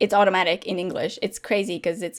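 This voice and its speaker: A woman with a Latvian accent speaks at a medium pitch on a very clean recording with a silent background. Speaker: gaming content creator. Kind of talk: casual chat.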